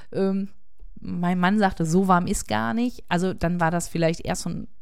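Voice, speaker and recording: In an ordinary speaking voice, a woman talks at a fairly quick pace, her medium pitch carrying fairly even intonation. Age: 40s. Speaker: podcaster living with MS. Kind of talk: personal monologue.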